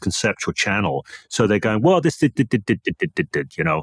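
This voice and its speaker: In a very clean recording with a silent background, a man with vocal fry speaks at a fairly quick pace, his pitch swinging very widely, the sound dry and close with no echo. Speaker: changework coach and hypnotist. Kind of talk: casual chat. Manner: fast.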